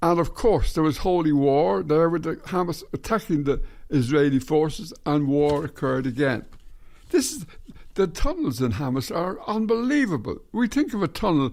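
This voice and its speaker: On a very clean recording with a silent background, a man with a fairly high voice speaks at a moderate pace, his pitch swinging very widely. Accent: Irish. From Ireland. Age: 80s+. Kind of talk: casual talk to camera.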